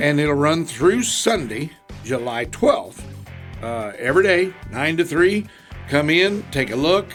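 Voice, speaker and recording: A man with a fairly high pitch and an American accent speaks at a fairly slow pace with lively intonation while music plays in the background. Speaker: auctioneer. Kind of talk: radio interview answer.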